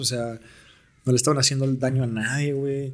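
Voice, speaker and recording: A man's voice at a medium pitch. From Mexico, Naucalpan (State of Mexico). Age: 20s. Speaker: aspiring musician. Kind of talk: casual chat.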